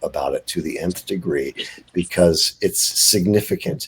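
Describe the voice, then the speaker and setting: Noticeable background noise runs under a man who keeps a moderate pace. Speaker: bigfoot eyewitness. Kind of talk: interview. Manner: soft-spoken; halting.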